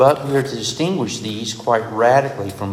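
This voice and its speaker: Noticeable background noise fills the recording. The man speaks at a moderate pace, his pitch varying in an ordinary way. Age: 60s. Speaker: preacher. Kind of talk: sermon. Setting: stage with audience.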